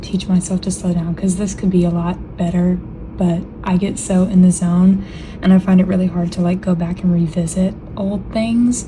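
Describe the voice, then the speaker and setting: A woman speaks at a medium pitch. Background noise is noticeable. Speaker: digital artist. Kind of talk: voice-over narration of a speed paint. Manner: casual, filler-heavy.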